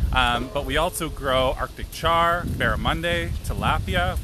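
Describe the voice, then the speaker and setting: A man speaks with a Canadian accent over noticeable background noise. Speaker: trout farmer. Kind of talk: casual live video tour. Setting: outdoors on a farm.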